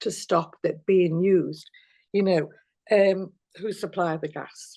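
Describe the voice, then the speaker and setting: A woman speaks in a Liverpool accent at a fairly slow pace, her medium-pitched voice dark and mellow. Her intonation stays fairly even over a quiet background. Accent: Liverpool (Scouse). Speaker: activist. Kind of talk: interview. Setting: video call. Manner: halting.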